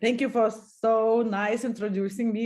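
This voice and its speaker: A woman with a Lithuanian accent. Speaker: company co-founder and executive. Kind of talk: interview. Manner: halting.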